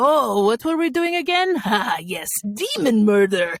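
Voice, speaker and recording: A female-sounding, put-on character voice with an Eastern European accent as part of the act comes out guttural and fairly high, with very wide pitch swings at a moderate pace. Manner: excited, cheerful.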